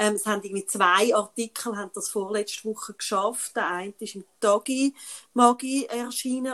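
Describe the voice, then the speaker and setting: A woman has a fairly high pitch and an unremarkable speaking voice. Her moderate pace and ordinary pitch variation come through in a dry, close sound with no echo. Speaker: podcast co-host. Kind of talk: casual chat.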